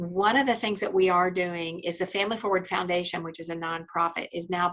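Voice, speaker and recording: In an American accent, a woman speaks with an ordinary speaking voice at a fairly low pitch, with a fairly quick pace and fairly even intonation. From Indiana, US Midwest. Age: 60s. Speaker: attorney. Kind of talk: podcast interview. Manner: conversational, many fillers.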